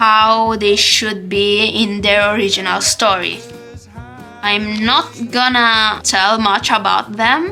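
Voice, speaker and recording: A woman speaks at medium pitch with a non-native accent and fairly even intonation. Her pace is very slow, with music in the background. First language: not English. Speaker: artist. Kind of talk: casual talk to camera. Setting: camera microphone.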